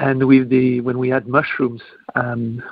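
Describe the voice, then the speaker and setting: A man with a French accent, medium pitch, fairly quick pace. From France. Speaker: restaurateur and chef. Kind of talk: interview. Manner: halting.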